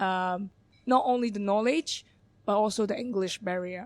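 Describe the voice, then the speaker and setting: The speaker has a Hong Kong accent and talks at a moderate pace. The recording is very clean, with a silent background. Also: woman. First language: Cantonese. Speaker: bar manager. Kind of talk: podcast interview. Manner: halting.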